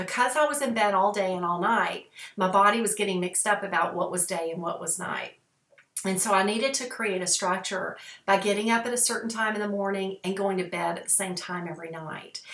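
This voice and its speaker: This voice moves at a fairly quick pace with ordinary pitch variation, audible room echo, and a quiet background. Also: woman. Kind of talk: casual vlog talk. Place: home room. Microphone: webcam.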